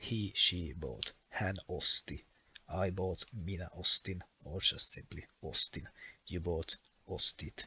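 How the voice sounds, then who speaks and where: With a Finnish accent, a man speaks at a very slow pace, the sound dry and close with no echo. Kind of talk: educational explainer.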